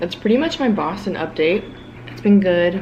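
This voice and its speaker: With an American accent, a woman speaks at a fairly slow pace amid noticeable background noise and audible room echo. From South Florida. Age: 20s. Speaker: vlogger and grad student. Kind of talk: casual vlog monologue.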